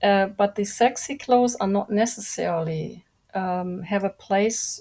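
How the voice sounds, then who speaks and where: Quiet and calm in tone, a woman with a non-native accent speaks at a medium pitch. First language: not English. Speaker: industry expert guest. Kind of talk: podcast interview. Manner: slow; calm and quiet.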